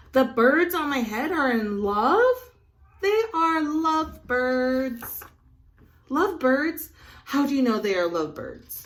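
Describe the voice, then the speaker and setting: A woman puts on a character voice with a high pitch. She delivers it at a fairly slow pace. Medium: read story. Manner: fretful.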